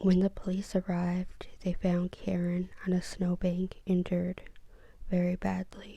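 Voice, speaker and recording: The voice has a dark, mellow tone and is somewhat breathy. It moves at a fairly slow pace with monotone, flat intonation. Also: woman. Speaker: ASMR creator. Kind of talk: soft-spoken true crime ASMR narration. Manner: soft-spoken, slow, relaxing.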